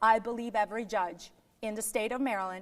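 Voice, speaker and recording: At a moderate pace, a woman with a non-native accent speaks in a fairly high pitch. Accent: foreign accent, noticeable. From Yugoslavia. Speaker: political candidate and lawyer. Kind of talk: political interview. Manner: firm, insistent.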